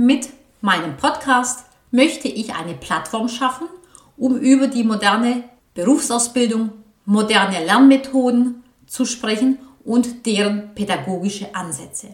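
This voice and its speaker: Delivery is fairly slow, and the pitch rises and falls in an ordinary way. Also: woman, high pitch for a woman. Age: 40s. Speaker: vocational training coach. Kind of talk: solo podcast monologue.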